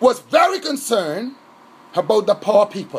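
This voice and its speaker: Shouting in an animated tone at a fairly slow pace, the voice comes through noticeable background noise. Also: man. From Bahamas. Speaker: political activist. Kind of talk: impassioned monologue.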